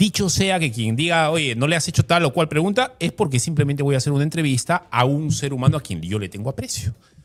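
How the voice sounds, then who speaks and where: With lively intonation and hardly any pauses, a man talks at a very fast pace in a fairly high pitch. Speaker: interviewer. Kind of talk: interview.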